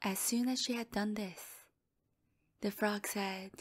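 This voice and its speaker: A soft-spoken woman with a gentle tone talks at medium pitch in a very clean recording with a silent background. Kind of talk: sleep story. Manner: soft-spoken, gentle.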